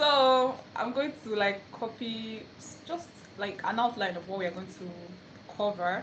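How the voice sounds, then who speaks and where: In a Nigerian accent, the speaker talks at a fairly slow pace with long, frequent pauses, ordinary pitch variation and big swings in loudness, over noticeable background noise and audible room echo. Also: woman. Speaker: language teacher. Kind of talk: live stream tutorial. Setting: phone live stream away from home.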